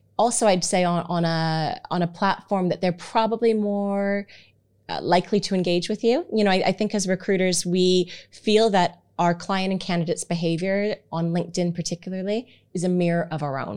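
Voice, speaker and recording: On a very clean recording with a silent background, a woman speaks at medium pitch with fairly even intonation. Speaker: marketing consultant. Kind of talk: interview. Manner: fast.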